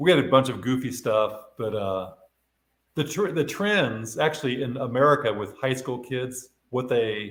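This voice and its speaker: A man with an unremarkable speaking voice, a moderate pace and ordinary pitch variation. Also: medium pitch for a man. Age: 60s. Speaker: retired sales executive and artist. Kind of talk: casual interview.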